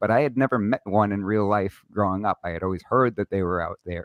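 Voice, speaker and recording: A man's fairly low voice with a New York accent and ordinary pitch variation, dry and close with no echo, against a quiet background. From Brooklyn, New York. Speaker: gun rights lawyer and podcast host. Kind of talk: casual interview chat. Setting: live stream studio.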